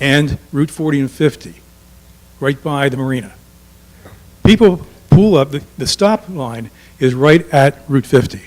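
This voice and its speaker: Noticeable background noise sits behind a man with a fairly high pitch. His intonation is lively, broken by long, frequent pauses. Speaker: resident speaking at public comment. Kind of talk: public comment at council meeting. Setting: township committee meeting.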